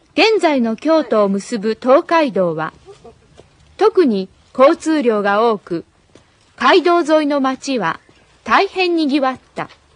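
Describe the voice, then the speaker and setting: A woman's high voice with very wide pitch swings, at a very slow pace with long, frequent pauses, in a dry, close sound with no echo. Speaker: Japanese language teacher. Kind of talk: reading aloud.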